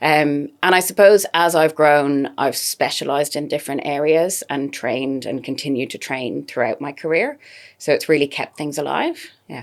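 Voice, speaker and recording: A woman with an Irish accent speaks in a very deep, low voice with ordinary pitch variation. Her pace is moderate, with hardly any pauses. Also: big swings in loudness. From Ireland. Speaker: dietitian. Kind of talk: podcast interview.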